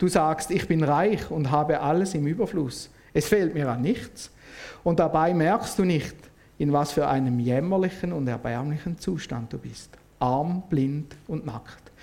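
A man speaks fairly slowly with a Swiss accent. His fairly high voice has a dark, mellow tone and ordinary pitch variation. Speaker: lay preacher. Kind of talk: sermon.

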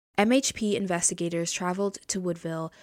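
The woman has an unremarkable speaking voice of medium pitch with ordinary pitch variation. The recording is very clean, with a silent background. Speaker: true crime podcaster. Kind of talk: true-crime narration. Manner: measured, serious, formal; steady, even-paced reading of case facts.

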